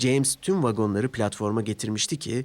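This man talks at a moderate pace with a slightly mellow tone and ordinary pitch variation.

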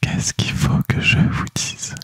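A soft-spoken man whispering, dry sound with no echo. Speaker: ASMR creator. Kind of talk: ASMR whispered talk to viewers. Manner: soft close-mic ASMR whisper. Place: home room. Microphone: studio mic.

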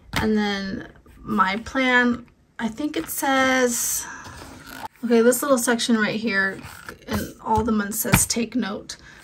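A woman speaks at a very slow pace with long, frequent pauses and a fairly high pitch. Her intonation stays fairly even over noticeable background noise. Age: 40s. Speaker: homemaking vlogger. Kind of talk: casual vlog talk. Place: home room. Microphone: phone near.

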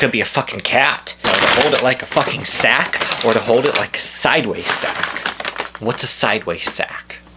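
Over loud background noise, a man talks in an animated tone at a moderate pace with hardly any pauses. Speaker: comedy vlogger. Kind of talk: angry comic rant, mock-outraged complaint about a food delivery. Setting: video blog, speaking to camera from home. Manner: animated, indignant and exasperated, ranting with stammers and repeats. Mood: exasperated, mocking. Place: home room. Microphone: phone near.

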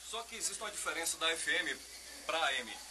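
A man speaks against noticeable background noise. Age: 20s. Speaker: radio presenter. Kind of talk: studio tour explanation. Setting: radio studio. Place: studio. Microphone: old recording.

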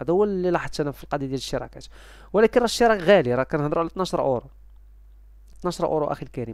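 A very fast-talking man with a fairly high pitch and ordinary pitch variation, against a quiet background. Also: dry sound with no echo. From Morocco. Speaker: YouTuber selling game subscriptions. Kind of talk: casual vlog talk to viewers. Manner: halting, many fillers. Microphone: headset.

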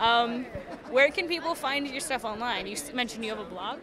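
A woman's fairly high voice with lively intonation, at a moderate pace

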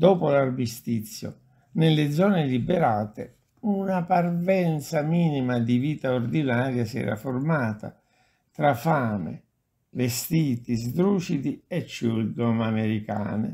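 Slowly and with lively intonation, a man speaks at a medium pitch in a dark, mellow tone that carries a slightly husky edge.

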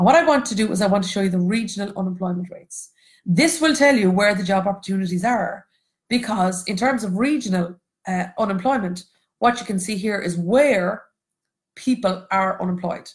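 A woman with a Cork accent talks at a fairly quick pace in a somewhat breathy voice. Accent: Irish (Cork). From Ireland, Cork. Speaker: economics educator and textbook co-author. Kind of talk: online lecture for students and teachers. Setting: Facebook Live stream with screen share.

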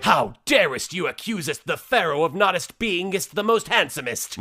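Putting on a character voice, a man speaks at a moderate pace with a high pitch and very wide pitch swings. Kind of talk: mock-archaic, overly formal. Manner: pompous, self-important.

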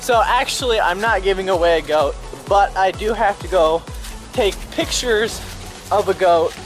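A man keeps a moderate pace, with clear music audible in the background. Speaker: vlogger. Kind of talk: casual talk to camera. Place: garden. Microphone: phone near.

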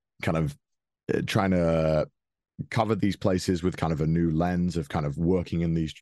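In a Welsh accent, a man talks at a moderate pace with a very deep, low pitch. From Wales. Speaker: YouTube and Twitch personality, voice actor. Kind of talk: interview answer. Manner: casual, hesitant.

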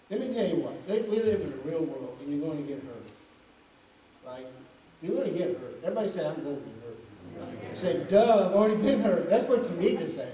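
A man at a fairly quick pace, with very wide pitch swings and big swings in loudness, amid light background noise and audible room echo. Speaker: preacher. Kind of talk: sermon. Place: church.

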